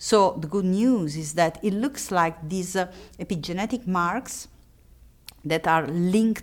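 The recording is very clean, with a silent background. The speaker's intonation is lively and the pace fairly slow. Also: woman. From Italy. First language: Italian. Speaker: researcher and lecturer. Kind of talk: interview. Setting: recorded at a conference. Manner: halting, many fillers.

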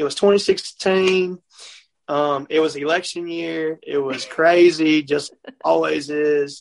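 A man with a Mississippi accent speaks in a monotone, flat intonation. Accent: Southern US (Mississippi). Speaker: country singer-songwriter. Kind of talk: casual chat. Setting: on the road.

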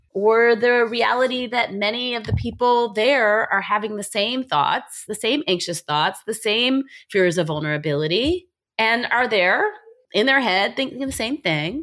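In a plain, everyday voice, a woman with fairly high pitch speaks at a fairly slow pace with lively intonation. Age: 40s. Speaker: psychiatrist and life coach podcast host. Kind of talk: solo podcast monologue. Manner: casual, conversational.

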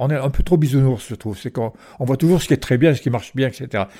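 In a very clean recording with a silent background, a man talks with a dark, mellow tone. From Provence, France (Marseille and Porquerolles). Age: 80s+. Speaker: retired island resident, former lifeboat coxswain. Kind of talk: interview. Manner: halting, with repetitions.

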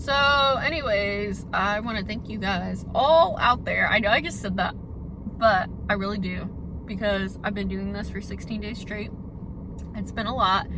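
The woman talks fairly slowly, with audible room echo and noticeable background noise in the recording. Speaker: podcast host. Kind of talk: casual solo monologue. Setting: in a car. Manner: chatty, filler-heavy.

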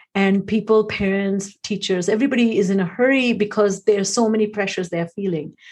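The somewhat breathy voice races at a very fast pace with hardly any pauses and fairly even intonation over a quiet background. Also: woman, medium pitch for a woman. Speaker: podcast host. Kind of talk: interview conversation.

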